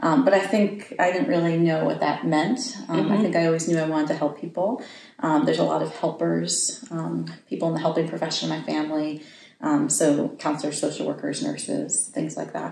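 A woman talks at a very fast pace over light background noise, with audible echo in the room. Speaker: guest. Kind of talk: interview answer. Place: home room.

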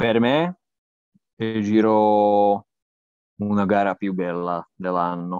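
A man with a non-native accent and a fairly low pitch speaks at a very slow pace with fairly even intonation and long, frequent pauses, in a dry sound with no echo and a quiet background. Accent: non-native Italian. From Slovakia. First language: Slovak (speaking Italian). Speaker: cycling journalist and podcaster; cycling journalist, podcaster. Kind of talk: interview; interview answer. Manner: halting, many fillers. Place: home room. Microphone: earbuds.

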